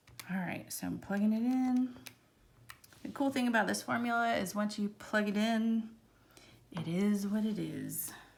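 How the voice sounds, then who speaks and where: With an American accent, a woman speaks at a moderate pace and fairly high pitch, somewhat breathy, with ordinary pitch variation and long, frequent pauses in a room with audible echo. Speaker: math teacher. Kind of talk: lecture. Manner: casual, chatty.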